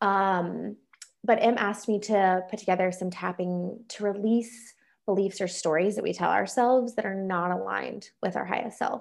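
Over a quiet background, a woman with an American accent talks in an ordinary speaking voice, medium in pitch, with fairly even intonation at a moderate pace. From North Carolina. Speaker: EFT tapping practitioner and soul coach. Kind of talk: casual interview chat; guided tapping exercise.

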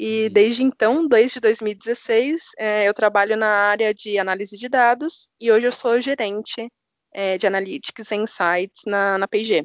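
Speaking at a fairly slow pace, a woman has a plain, everyday voice, fairly high in pitch, with ordinary pitch variation. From São Paulo, Brazil. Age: 20s. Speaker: data analytics manager. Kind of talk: podcast interview.

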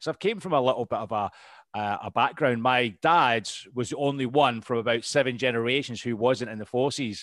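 This man's voice sits at a medium pitch with ordinary pitch variation. He speaks at a fairly quick pace. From Scotland. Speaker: podcast host and veteran. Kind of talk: casual interview chat.

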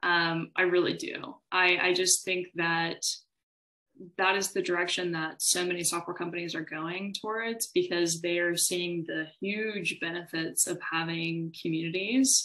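A woman with an American accent speaks at a fairly slow pace in a fairly low voice, her tone bright and sharp and her intonation fairly even. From Texas, Austin. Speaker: tech community and marketing specialist. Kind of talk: interview. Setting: video call.

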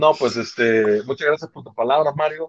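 A man's ordinary speaking voice, with ordinary pitch variation, a moderate pace, and a dry, close sound with no echo. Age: 30s. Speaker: podcast co-host. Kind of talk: casual chat.

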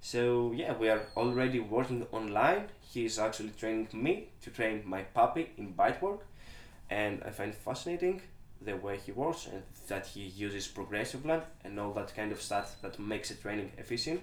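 A man with a Greek accent, with audible room echo around him. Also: medium pitch for a man, lively intonation, moderate pace. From Greece. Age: 20s. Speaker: dog trainer. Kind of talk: interview.

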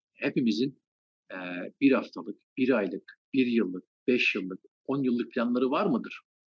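A man speaks in an unremarkable speaking voice at a medium pitch. His pace is fairly slow and his intonation lively. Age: 40s. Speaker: anatomy lecturer. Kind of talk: interview.

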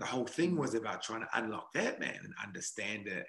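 A man with a New Zealand accent talks at a fairly quick pace. His tone is bright and sharp, his intonation lively. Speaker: podcast host, mental performance coach. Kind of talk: casual chat.

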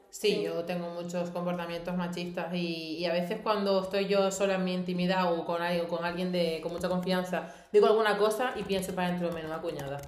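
Fairly quick, monotone speech with flat intonation and hardly any pauses, with noticeable background noise and audible room echo. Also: woman, fairly low pitch for a woman. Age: 20s. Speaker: podcast co-host. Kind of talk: casual chat.

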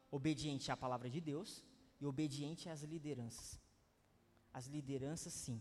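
With a Brazilian accent, a man speaks in a fairly high pitch and fairly even intonation, leaving long, frequent pauses. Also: moderate pace. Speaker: pastor. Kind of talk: sermon. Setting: church conference. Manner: casual, repetitive.

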